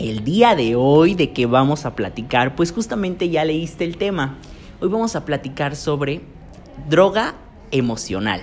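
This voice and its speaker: A man with a fairly high pitch is speaking. His pace is fairly slow and his intonation lively. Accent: Mexican. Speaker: podcast host. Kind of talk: casual chat.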